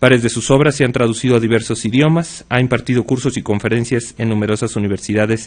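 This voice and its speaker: His intonation is fairly even, and his pitch is medium. This man talks very fast. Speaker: magistrate introducing a speaker. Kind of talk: formal speaker introduction. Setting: conference hall with audience. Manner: hesitant, many filler sounds.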